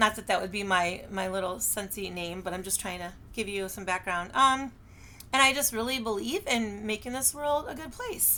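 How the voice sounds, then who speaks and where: Speaking with an American accent, a woman has a fairly high pitch, a bright, sharp tone and ordinary pitch variation. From Michigan. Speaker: direct sales consultant and teacher. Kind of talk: casual self-introduction video. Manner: fast.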